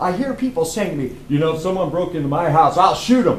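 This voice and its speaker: Background noise is noticeable and the room echo is audible. A man speaks with a high pitch and very wide pitch swings. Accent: American. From US South, North Carolina (Cumberland County). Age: old. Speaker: firearms instructor. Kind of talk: business pitch presentation.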